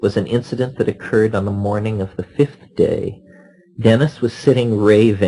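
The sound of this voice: With fairly even intonation, the words come in an unforced reading voice.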